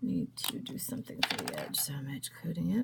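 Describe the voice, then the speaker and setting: A woman speaks over noticeable background noise. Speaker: craft tutorial maker. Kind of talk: tutorial. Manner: casual, hesitant with fillers.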